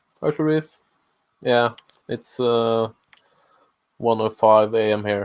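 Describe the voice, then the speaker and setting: A quiet man with a medium pitch, at a very slow pace with long, frequent pauses and fairly even intonation. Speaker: maker streamer. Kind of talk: casual chat. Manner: halting.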